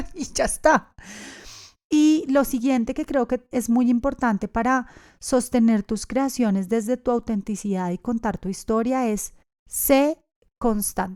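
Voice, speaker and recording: With a dark, mellow tone at a fairly high pitch, a woman speaks at a fairly slow pace in a dry, close sound with no echo. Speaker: podcast host, yoga teacher. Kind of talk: podcast monologue.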